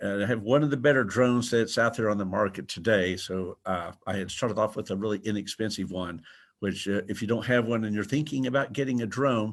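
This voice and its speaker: A man with an American accent speaks at a fairly quick pace in a fairly low pitch, with ordinary pitch variation and hardly any pauses. He has an unremarkable speaking voice. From Texas. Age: 60s. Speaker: drone photographer, presenter. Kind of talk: webinar presentation. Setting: video webinar from a museum.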